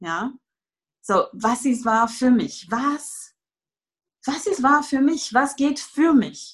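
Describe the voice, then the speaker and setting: Her pitch high, a woman speaks at a very slow pace with lively intonation. She leaves long, frequent pauses. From France. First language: French (speaking German). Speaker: Access Consciousness facilitator, former yoga teacher. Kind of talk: casual interview conversation. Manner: hesitant, many fillers.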